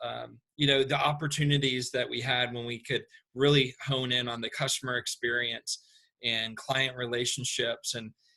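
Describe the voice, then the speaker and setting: A man in a Southern US accent speaks at a moderate pace and medium pitch, his bright, sharp tone held in a flat monotone. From US South, Atlanta. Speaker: construction company owner. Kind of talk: interview. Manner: hesitant, many fillers.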